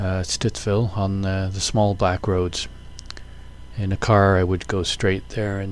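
In a dry recording with no echo, a man with a fairly low voice speaks with fairly even intonation. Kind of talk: casual vlog commentary. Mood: relaxed, calm. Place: motorbike.

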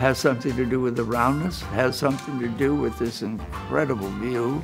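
Clear music sits in the background as a man with an American accent talks. His pace is moderate and his intonation lively. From California. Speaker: architect. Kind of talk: interview answer. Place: home room.

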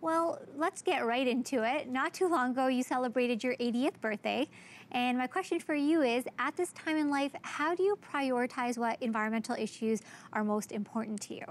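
In a dry sound with no echo, a woman speaks at a high pitch. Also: ordinary pitch variation, moderate pace. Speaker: interviewer. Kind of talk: TV interview host. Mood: warm, smiling. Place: studio.

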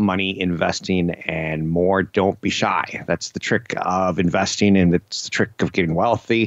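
With hardly any pauses, a man speaks at a moderate pace and a very deep, low pitch, in a dry sound with no echo and a quiet background. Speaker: radio show host. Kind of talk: radio talk show commentary. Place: studio.

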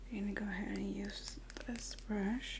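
A soft-spoken woman with a gentle tone and a fairly slow pace, under loud background noise. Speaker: makeup content creator. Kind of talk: soft role-play makeup tutorial. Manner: soft-spoken, gentle ASMR voice. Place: home room. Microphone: phone near.

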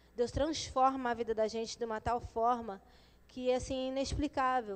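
Talking at a fairly quick pace, a woman uses a high pitch. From São Paulo, moved to Rio at 12. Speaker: former drug addict, mother of three. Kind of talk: testimony. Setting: church service. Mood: earnest, emotional. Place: church. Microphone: handheld.

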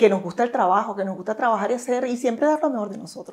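Using a normal speaking voice, a woman talks with a fairly high pitch and ordinary pitch variation. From Venezuela. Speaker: gynecologist; interviewee. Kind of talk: interview. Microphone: lapel.

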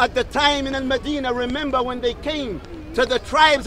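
There is noticeable background noise. A man with an extremely high voice talks at a fairly quick pace. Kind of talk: public street sermon / dawah speech. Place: open country. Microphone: lapel.

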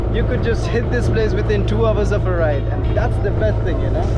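Loud background noise accompanies a man's voice. The sound itself is dry with no echo. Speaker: travel vlogger. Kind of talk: casual vlog chat. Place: boat. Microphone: phone near.

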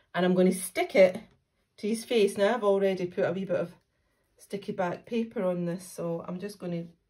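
In a quiet setting, a woman talks at a fairly quick pace with fairly even intonation. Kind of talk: craft tutorial. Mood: friendly, warm. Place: home room. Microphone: phone near.

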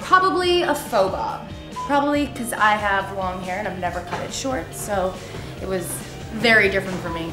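A woman talks at a moderate pace with ordinary pitch variation while music plays clearly in the background. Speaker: vlogger being interviewed. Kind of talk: casual rapid-fire Q&A answers. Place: home room.

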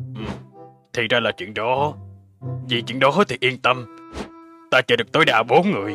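Using a cartoonish character voice at a medium pitch, a man talks over faint music in the background. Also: moderate pace.

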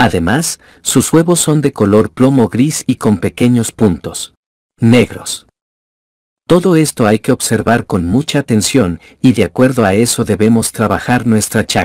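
A man with an unremarkable speaking voice talks at a fairly slow pace, his medium pitch carried by lively intonation and very even loudness. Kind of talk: storytelling, reading aloud a folk tale for students. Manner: even, clear, didactic narration.

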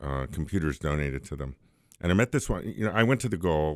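A man with a New York accent speaks at a very deep, low pitch. The sound is dry with no echo over a quiet background. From New York City. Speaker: IT business owner; guest. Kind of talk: radio interview. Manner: strong confident speaker. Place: studio. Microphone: studio mic.

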